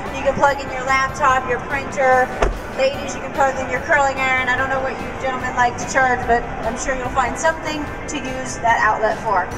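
A woman talks at a fairly quick pace while music plays clearly in the background. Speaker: trade show presenter. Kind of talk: live product presentation. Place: hall.

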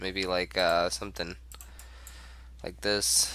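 Lively intonation marks this man's delivery. His fairly low voice has a bright, sharp tone. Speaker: gaming YouTuber. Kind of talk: gameplay commentary. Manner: casual, hesitant with fillers.

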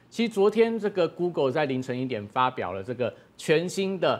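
A man speaks with very wide swings in pitch. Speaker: market analyst. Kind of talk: analysis commentary. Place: studio.

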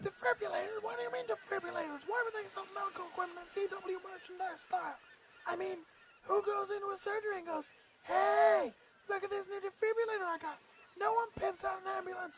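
In a put-on character voice, extremely high and whiny in tone, the speaker goes at a fairly quick pace. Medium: comedy sketch. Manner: whiny, exasperated, ranting.

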